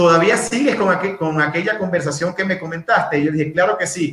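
The man speaking has a high pitch. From Venezuela, Maturín (Monagas, east). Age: 30s. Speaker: personal development speaker. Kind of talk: interview, casual chat.

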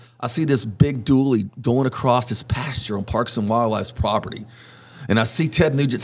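At a moderate pace, a man speaks with a Texan accent and a medium pitch. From Southeast Texas (Orange). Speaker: wildlife expert and magazine editor. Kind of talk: casual interview.

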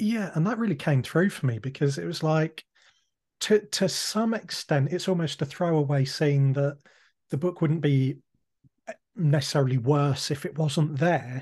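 This man speaks at a moderate pace in a fairly high, somewhat breathy voice with ordinary pitch variation. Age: 30s. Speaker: podcast host. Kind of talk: interview.

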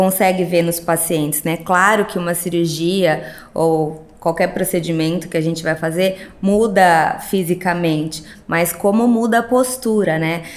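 A woman with a normal speaking voice, fairly low in pitch, fairly slow, with fairly even intonation. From Sorocaba, São Paulo state, Brazil. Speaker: plastic surgeon. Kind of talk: casual interview chat.

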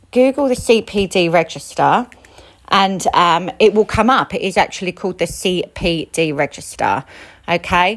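With an ordinary speaking voice, a woman at medium pitch talks at a fairly slow pace with lively intonation. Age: 30s. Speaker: aesthetics practitioner. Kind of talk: casual advice monologue.

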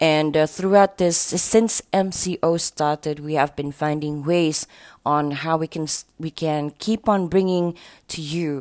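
A woman with a Sabahan accent speaks in an upbeat tone at a very deep, low pitch and a fairly slow pace. The recording is very clean, with a silent background. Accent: Malaysian English with Sabahan Malay. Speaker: radio host. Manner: upbeat, conversational, laughing, friendly banter.

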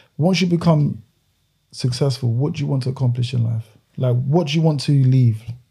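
A man speaks very fast at a medium pitch, his voice somewhat breathy. The tone is dark and mellow, with ordinary pitch variation. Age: 20s. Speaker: podcast host. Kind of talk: casual interview.

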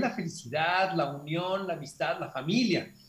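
There is audible room echo around a man speaking with a high pitch. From Mexico, Hermosillo, Sonora. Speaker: film director. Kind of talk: interview.

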